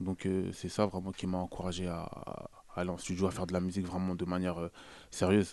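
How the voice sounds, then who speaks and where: Very deep and low in pitch, a man's dark, mellow voice runs at a very fast pace with monotone, flat intonation. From Paris region, Noisy-le-Sec. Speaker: rapper. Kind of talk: casual radio interview. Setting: radio studio.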